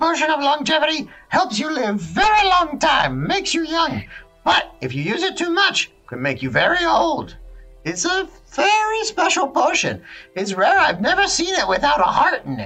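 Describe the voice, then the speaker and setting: Over faint background music, a man does a put-on character voice at a moderate pace. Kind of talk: fantasy roleplay voice. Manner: broken, clipped speech, excited.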